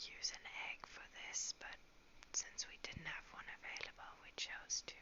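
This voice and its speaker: The speaker whispers at a very slow pace. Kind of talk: ASMR cooking narration. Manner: whispered.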